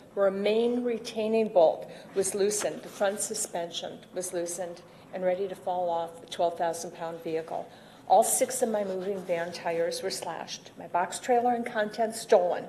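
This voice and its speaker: Fairly even intonation at a moderate pace, amid noticeable background noise. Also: woman, medium pitch for a woman. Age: 60s. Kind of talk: public comment at a county board meeting.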